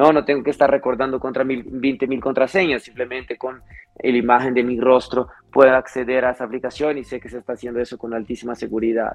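With big swings in loudness, a man talks very fast at medium pitch with monotone, flat intonation. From Brazil. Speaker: fintech executive. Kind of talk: interview.

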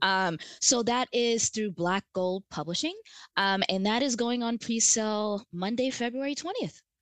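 A woman with an American accent and an unremarkable speaking voice talks at a fairly slow pace and fairly high pitch, with ordinary pitch variation. The sound is dry and close, with no echo, over a quiet background. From New Jersey. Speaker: clinical social worker, sexologist and author. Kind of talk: casual chat.

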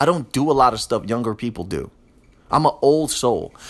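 This man, with an American accent, has a medium pitch, lively intonation and an animated tone. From US urban inner city. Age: 30s. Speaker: podcast host. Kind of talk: casual monologue.

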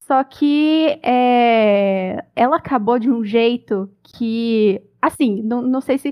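Ordinary pitch variation in a woman's high voice. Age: 20s. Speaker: podcast co-host, translator. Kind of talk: casual chat.

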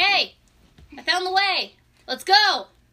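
An extremely high-pitched, put-on character voice. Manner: excited, calling out.

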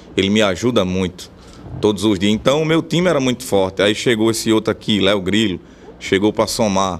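A man's ordinary speaking voice, fairly low in pitch with ordinary pitch variation, at a fairly quick pace and very even loudness. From Rio Grande do Norte interior, Brazil (Bom Jesus). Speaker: forró accordionist and vaquejada cowboy. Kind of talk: radio interview.

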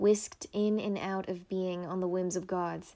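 A woman talks at a moderate pace and medium pitch. Her intonation is monotone and flat, with a dark, mellow tone. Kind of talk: poetry reading. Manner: lyrical, dreamy, measured.

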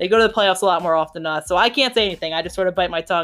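A medium-pitched woman with a Philadelphia accent, music playing in the background. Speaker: podcast co-host. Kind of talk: casual, conversational.

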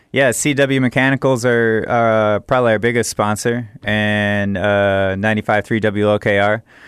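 Here a man with a fairly low pitch speaks at a very slow pace. He leaves hardly any pauses. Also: fairly even intonation. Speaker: festival organizer. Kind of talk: casual radio chat. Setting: radio studio.

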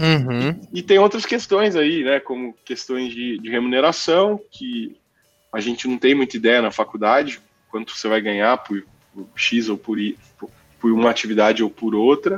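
Over background music, a man with a medium pitch speaks at a moderate pace with lively intonation and big swings in loudness. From Brazil, Mococa (São Paulo state). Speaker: physician and tech business lead. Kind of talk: casual interview chat.

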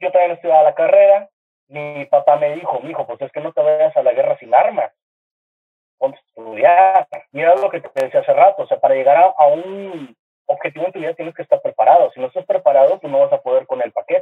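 In a northern Mexican accent, a man speaks at a very fast pace, his loudness swinging widely. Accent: northern Mexican (regio). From Monterrey, northern Mexico. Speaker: graphic designer and TV artist. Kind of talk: casual chat. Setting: video call. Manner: animated.

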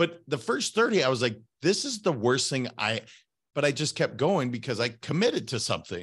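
This man has an American accent, an animated tone and very wide pitch swings. He talks at a moderate pace with big swings in loudness against a quiet background. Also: fairly high pitch for a man. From Montana. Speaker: podcast host and author. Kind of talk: casual interview chat.

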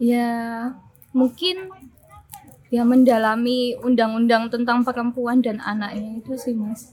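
A woman speaks at a high pitch with fairly even intonation and a very slow pace. Noticeable background noise can be heard. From Yogyakarta, Indonesia (born in Austria, moved as small child). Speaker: writer. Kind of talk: casual interview chat. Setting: cafe.

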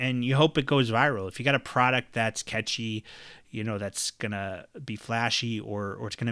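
Bright and sharp in tone, a man speaks at a medium pitch and a moderate pace. The recording is very clean, with a silent background. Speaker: podcast host. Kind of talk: solo monologue podcast. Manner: rambling, hesitant with many fillers and repetitions.

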